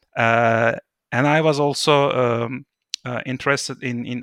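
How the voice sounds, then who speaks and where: A man's medium-pitched voice with a bright, sharp tone and monotone, flat intonation, dry and close with no echo, against a quiet background. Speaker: tech company co-founder and CTO. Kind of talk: casual interview chat. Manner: hesitant, repeats words.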